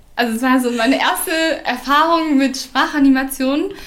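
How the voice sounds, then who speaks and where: A woman with a high pitch speaks at a fairly slow pace with ordinary pitch variation. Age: 20s. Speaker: former language exchange facilitator, teacher trainee. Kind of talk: casual interview.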